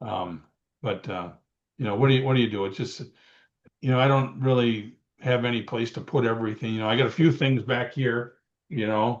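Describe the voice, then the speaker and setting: At a fairly quick pace broken by long, frequent pauses, a man speaks at a medium pitch with ordinary pitch variation. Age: 60s. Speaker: retired pro wrestler. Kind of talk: interview. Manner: hesitant, many fillers.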